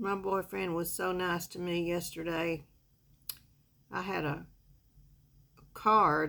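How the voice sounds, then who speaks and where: Her tone relaxed yet bright and sharp, a woman with a Southern US accent speaks at a very slow pace with fairly low pitch and fairly even intonation. She leaves long, frequent pauses. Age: 70s. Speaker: makeup vlogger. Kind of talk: casual makeup tutorial chat. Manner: relaxed, chatty.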